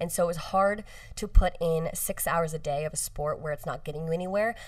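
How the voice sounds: A fairly quick American accent. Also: woman, low pitch for a woman, ordinary pitch variation.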